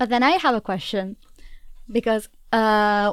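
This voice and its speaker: In an unremarkable speaking voice of fairly high pitch, a woman talks at a moderate pace, the sound dry and close with no echo and the recording very clean with a silent background. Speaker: student radio co-host. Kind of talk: interview.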